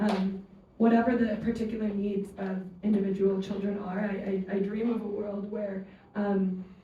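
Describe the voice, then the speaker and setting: Speaking at a fairly slow pace in an American accent, a woman with a medium pitch has a dark, mellow, somewhat breathy tone, monotone, flat intonation and audible room echo. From United States. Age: 20s. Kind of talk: panel discussion. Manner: halting, many fillers and repetitions.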